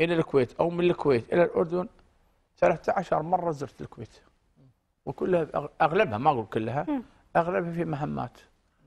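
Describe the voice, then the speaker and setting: A man talks at a fairly slow pace with vocal fry. His loudness swings widely while his pitch varies in an ordinary way. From Kuwait. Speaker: retired diplomat and educator; interview guest. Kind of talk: interview. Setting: studio. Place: studio. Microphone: lapel.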